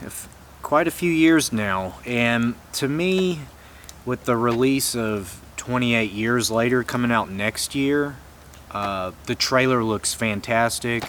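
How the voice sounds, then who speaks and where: A man with an American accent, medium in pitch and lively in intonation, at a very slow pace over noticeable background noise. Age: 30s. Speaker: movie collector vlogger. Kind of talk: casual vlog. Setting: outdoors.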